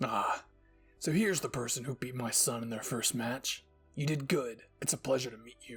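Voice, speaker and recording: A man puts on a raspy character voice at a medium pitch, moving at a moderate pace with big swings in loudness while faint music plays behind him. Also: ordinary pitch variation. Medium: audio drama. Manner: harsh, contemptuous.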